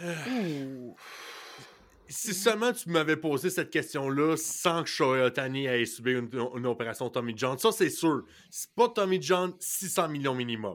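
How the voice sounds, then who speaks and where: In a Quebec accent, a man with a fairly high pitch speaks at a very slow pace with very wide pitch swings, recorded very cleanly with a silent background. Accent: Québécois French. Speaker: sports podcast co-host. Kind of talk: casual chat.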